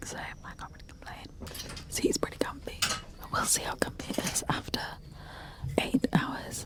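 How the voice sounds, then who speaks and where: Whispering at a moderate pace, a woman leaves long, frequent pauses and swings widely in loudness, with noticeable background noise behind her. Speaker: travel vlogger. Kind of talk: casual vlog. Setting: on a sleeper train. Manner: very soft whisper.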